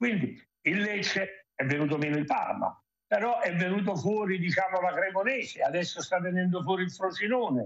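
A man speaks with a high pitch. His loudness stays very even. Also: ordinary pitch variation, moderate pace. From Benevento, Campania. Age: old. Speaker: football executive. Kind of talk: TV sports talk show. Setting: remote link. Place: home room. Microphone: video call.

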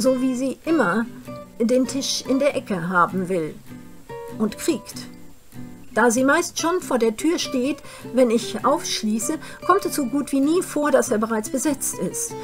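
Over clear music in the background, a woman with a high pitch speaks at a very slow pace with long, frequent pauses. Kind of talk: literary reading. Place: home room. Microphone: webcam.

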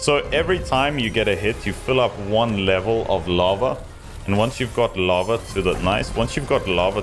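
Clear music plays behind a man as he talks. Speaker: casino streamer. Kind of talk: live stream commentary. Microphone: studio mic.

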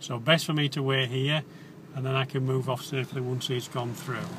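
Heard in a dry sound with no echo and light background noise, a man speaks at a fairly quick pace. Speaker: driving instructor. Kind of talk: commentary while driving, tutorial. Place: car.

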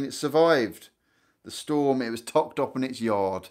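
A man talks, and the background is quiet. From Guernsey. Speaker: YouTuber about island life. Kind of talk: live stream chat with viewers. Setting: live stream from home lounge. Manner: chatty, rambling with many fillers. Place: home room. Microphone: phone near.

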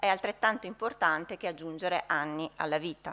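This woman's voice has a bright, sharp tone. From Verona, northern Italy; northern Italy. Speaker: hospital physician; conference presenter. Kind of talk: conference talk. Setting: conference hall with audience. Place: hall. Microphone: podium.

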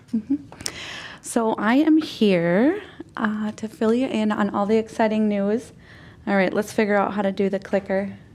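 Against noticeable background noise, a woman with a fairly high pitch and ordinary pitch variation speaks at a moderate pace, leaving long, frequent pauses. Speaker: community coalition representative. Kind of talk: presentation to city council. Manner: many fillers (um, uh).

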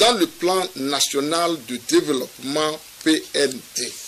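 Very wide pitch swings at a very slow pace. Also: man. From Togo. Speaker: government minister reading council communiqué. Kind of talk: official communiqué reading. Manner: formal. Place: studio.

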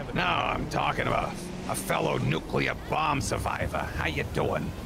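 A man in a put-on character voice at a moderate pace, over loud background noise. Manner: gruff, commanding.

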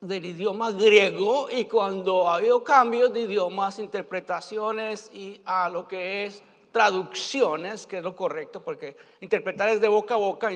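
This man talks at a fairly slow pace in a high voice with fairly even intonation. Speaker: preacher or Bible teacher. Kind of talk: sermon. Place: stage.

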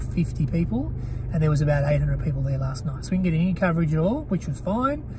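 Noticeable noise fills the background as the man talks. No echo is present, and the sound is dry. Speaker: travel vlogger. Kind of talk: casual vlog chat. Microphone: handheld.

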